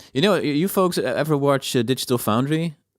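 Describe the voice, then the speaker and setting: In a very clean recording with a silent background, a man with a Dutch accent speaks with lively intonation. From Netherlands. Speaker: video game music composer, streamer. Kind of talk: live stream reaction chat.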